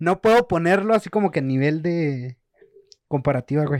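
In a dry, close recording with no echo, a man speaks at a moderate pace with lively intonation. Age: 20s. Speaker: podcast co-host. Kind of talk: casual chat.

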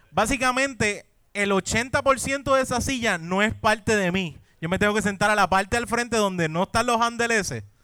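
A man's high-pitched, raised, projected voice with a bright, sharp tone. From Puerto Rico, Caguas. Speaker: podcast co-host. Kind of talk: live comedy podcast before audience. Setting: brewery stage with live audience.

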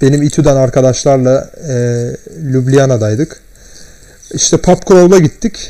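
Speaking fairly slowly with long, frequent pauses, a man with a dark, mellow, fairly high-pitched voice uses ordinary pitch variation. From Turkey. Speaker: podcast guest. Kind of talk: casual chat. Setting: at home, in his room.

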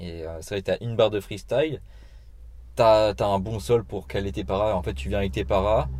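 Speaking at a moderate pace, a man with a fairly low pitch shows vocal fry and lively intonation. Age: 20s. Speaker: podcast host. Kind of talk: casual interview. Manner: stammering.

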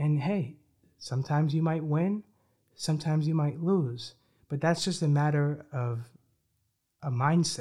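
A man with a fairly high pitch and a dark, mellow tone talks at a fairly slow pace with long, frequent pauses. He sounds somewhat breathy and his intonation stays fairly even, on a very clean recording with a silent background. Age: 20s. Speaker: podcast host. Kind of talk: motivational monologue.

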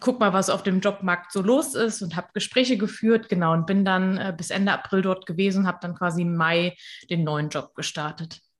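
Moderate pace and medium pitch from a woman with an unremarkable speaking voice. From western Germany, near Koblenz. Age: 20s. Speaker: social media coach and freelancer. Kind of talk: interview.

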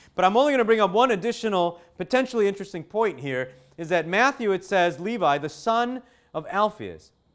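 A man talks loudly at a fairly quick pace. His tone is animated. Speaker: preacher. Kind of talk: sermon.

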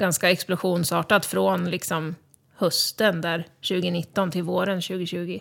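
The woman here speaks at a very slow pace. The recording is very clean, with a silent background. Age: 30s. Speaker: cancer patient and podcaster. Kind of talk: casual interview. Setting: studio.

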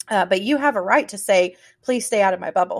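A woman speaks at a fairly quick pace, her medium-pitched voice showing ordinary pitch variation. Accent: Southern US. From US South. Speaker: podcast host. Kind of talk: casual chat.

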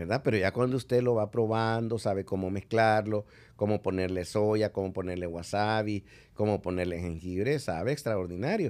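A man at a moderate pace, fairly low in pitch, with ordinary pitch variation and music in the background. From El Salvador. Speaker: ambassador. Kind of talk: interview conversation. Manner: hesitant, many filler sounds.

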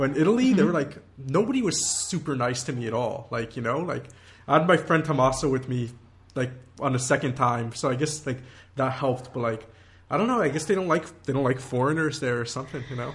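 The speaker talks at a very fast pace with ordinary pitch variation. The voice is somewhat breathy. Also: man, medium pitch for a man. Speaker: podcast host. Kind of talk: casual chat.

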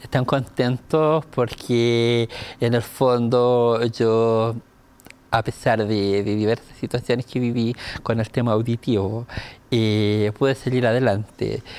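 A man's medium-pitched, monotone voice at a very slow pace, with flat intonation and very even loudness. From Chile. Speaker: deaf dancer. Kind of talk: casual chat.

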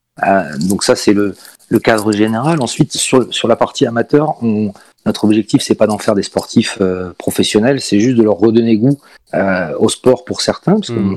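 This man has an unremarkable speaking voice, fairly low in pitch with ordinary pitch variation. He moves at a moderate pace, and the sound is dry and close with no echo. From Paris, France. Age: 40s. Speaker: esports team president. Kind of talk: interview.

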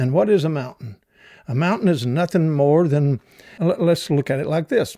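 Speaking at a moderate pace with a Southern US accent, a man uses a fairly high pitch with ordinary variation on a very clean recording with a silent background. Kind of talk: devotional teaching. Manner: hesitant, many fillers.

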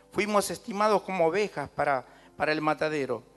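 Over music in the background, a man talks fairly slowly with lively intonation. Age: 60s. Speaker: pastor. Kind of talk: sermon.

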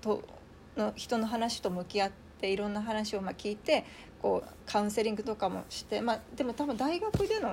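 A woman with an unremarkable speaking voice talks at a moderate pace, her pitch fairly high and its variation ordinary. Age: 30s. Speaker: translator and writer. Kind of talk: casual chat.

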